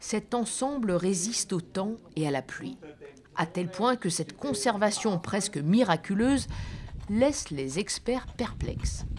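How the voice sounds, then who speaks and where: A woman speaks at a very slow pace. Her medium-pitched voice carries lively intonation. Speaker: travel show presenter. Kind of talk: travel documentary narration. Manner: whispering.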